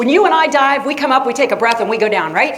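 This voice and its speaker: A woman's animated, lively-toned voice with an American accent, with audible room echo and noticeable background noise. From Florida, US. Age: 60s. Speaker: science teacher. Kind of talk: lecture. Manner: conversational.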